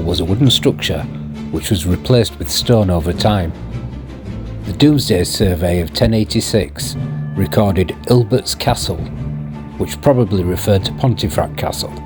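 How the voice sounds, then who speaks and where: Music plays in the background as a man with a Yorkshire accent talks at a moderate pace. His very deep, low pitch swings very widely. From Yorkshire, England. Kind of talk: history narration over walking video.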